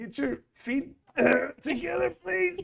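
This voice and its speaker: Putting on a character voice, a man sounds strained as he speaks fairly slowly at a high pitch. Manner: strained, as if lifting something heavy.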